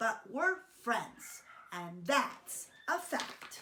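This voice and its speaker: A woman's high, put-on character voice with very wide pitch swings. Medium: read story. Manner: earnest, sweet.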